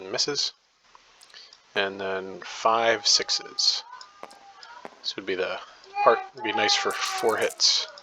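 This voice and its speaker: A man at a very slow pace, with long, frequent pauses, big swings in loudness and noticeable background noise. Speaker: board game player narrating a replay. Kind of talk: casual game commentary. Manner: hesitant, many fillers.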